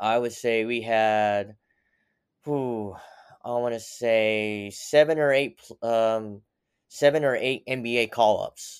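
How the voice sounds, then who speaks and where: A man with an American accent, recorded very cleanly against a silent background, the sound dry and close with no echo. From Pennsylvania and Tennessee, US. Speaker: sports physical therapist. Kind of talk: interview. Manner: halting, many fillers.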